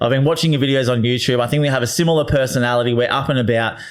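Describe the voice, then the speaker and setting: A man talks at a very fast pace in a medium pitch. Audible room echo surrounds his voice. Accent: Australian. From Australia (Queensland). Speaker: real estate agent, former tradesman. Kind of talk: casual podcast interview. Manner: energetic, upbeat.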